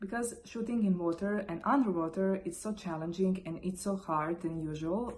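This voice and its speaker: Noticeable background noise runs beneath a woman's voice. She speaks at a medium pitch with a non-native accent. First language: not English. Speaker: photographer. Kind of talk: tutorial. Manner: halting.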